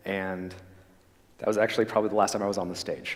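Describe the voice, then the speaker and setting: The man speaks at a fairly quick pace and a fairly low pitch. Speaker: dentist. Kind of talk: health talk to a church audience. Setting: church stage with audience. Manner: fast; loud.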